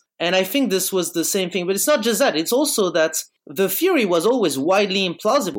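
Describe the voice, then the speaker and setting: Lively intonation from a high-pitched man with a French accent, his loudness very even. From France, Bordeaux. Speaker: philosophy student. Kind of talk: casual chat.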